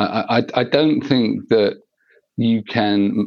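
A man's voice at a medium pitch. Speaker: assistive technology specialist. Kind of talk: interview conversation.

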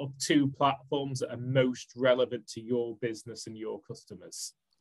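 A man with a Manchester accent, at a moderate pace. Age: 40s. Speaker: social media marketing business owner. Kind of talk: podcast interview.

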